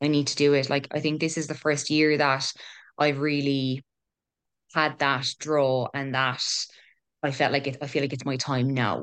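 Against a quiet background, the speaker talks at a moderate pace in a monotone, flat intonation, with long, frequent pauses. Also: woman, very deep, low pitch for a woman. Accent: Kerry. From Ireland, Killarney, County Kerry. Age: 20s. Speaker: health researcher and mental health business founder. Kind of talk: casual interview chat.

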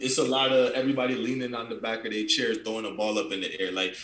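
Speaking at a fast pace, a man with a fairly low pitch and fairly bright tone shows little pitch movement, with audible room echo around him.

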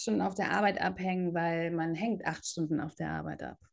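A woman speaks against a quiet background. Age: 30s. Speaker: yoga teacher and podcast co-host. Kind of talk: casual chat.

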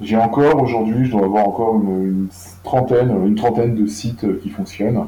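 With a dark, mellow tone, a man speaks at a medium pitch and a fairly quick pace, keeping his intonation fairly even. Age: 50s. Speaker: food traceability platform founder. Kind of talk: interview. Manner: halting, frequent repetitions and fillers.

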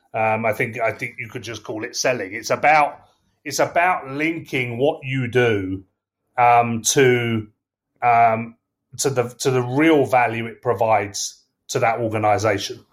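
The words come fairly slowly from a man. He shows ordinary pitch variation. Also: medium pitch for a man. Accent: English. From England. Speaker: sales leader. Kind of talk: casual interview. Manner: hesitant, filler words.

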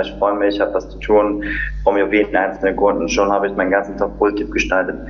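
Noticeable background noise runs throughout. Over it, a man speaks at a very fast pace. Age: 30s. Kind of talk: casual interview.

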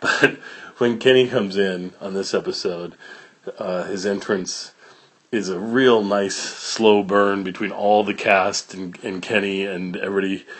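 At a moderate pace, a man speaks with a fairly low pitch and fairly even intonation, with noticeable background noise behind him. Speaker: podcast host. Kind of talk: casual podcast intro and outro, conversational. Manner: relaxed, informal, somewhat halting with fillers.

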